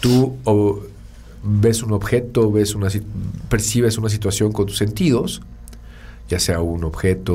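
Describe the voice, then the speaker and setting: Amid audible room echo, a man with a fairly low pitch talks at a very slow pace. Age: 40s. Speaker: podcast co-host, communication consultant. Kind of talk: casual explanatory chat.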